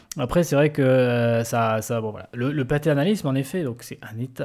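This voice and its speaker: Over a silent background in a very clean recording, a man talks at a moderate pace with a medium pitch and ordinary pitch variation. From southwestern France. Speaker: podcast host. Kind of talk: interview. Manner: halting.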